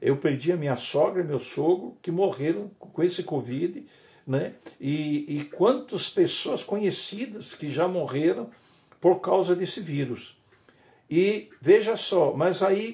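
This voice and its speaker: Very slowly, a man speaks with lively intonation and a high pitch. His tone is dark and mellow. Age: 70s. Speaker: pastor. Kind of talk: sermon. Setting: livestream. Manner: halting.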